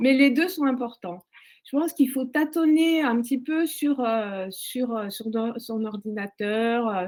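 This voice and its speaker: The intonation of this woman's high voice is lively. She talks at a very slow pace. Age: 60s. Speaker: career changer in tech training. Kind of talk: testimony. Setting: online webinar. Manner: halting, many hesitations.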